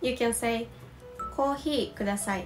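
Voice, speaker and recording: A woman speaks in a high pitch with a Japanese accent and ordinary pitch variation. Faint music plays in the background. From Osaka, Japan. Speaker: Japanese language teacher. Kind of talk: language lesson to camera. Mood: calm and friendly.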